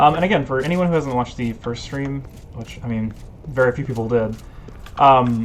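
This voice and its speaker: A man with a medium-pitched voice talks at a fairly quick pace, with ordinary pitch variation. Long, frequent pauses break his speech, and noticeable background noise runs underneath. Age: 20s. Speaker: video game streamer. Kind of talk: casual gameplay commentary. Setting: live stream. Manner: hesitant, many fillers.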